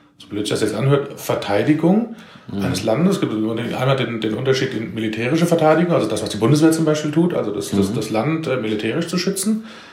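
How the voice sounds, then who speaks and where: Against noticeable background noise and audible room echo, a man talks at a fairly quick pace with lively intonation. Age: 40s. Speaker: civil protection volunteer leader. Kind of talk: interview.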